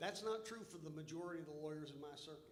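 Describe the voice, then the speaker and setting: The voice belongs to a man. His words ring with audible room echo. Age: 60s. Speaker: lawyer, bar board member. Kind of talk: formal meeting remarks, debate. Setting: hotel meeting room, livestreamed. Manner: halting, many repetitions and fillers.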